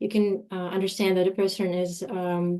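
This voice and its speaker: A woman's medium-pitched voice, dark and mellow in tone, at a fairly slow pace. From Russia. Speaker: telecom lawyer. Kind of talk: webinar presentation.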